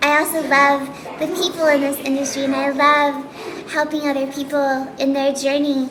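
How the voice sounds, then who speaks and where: A woman with an American accent speaks at a high pitch and a moderate pace. Audible room echo and noticeable background noise fill the recording. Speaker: voice actor. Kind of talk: casual interview. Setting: breakfast meeting at a cafe.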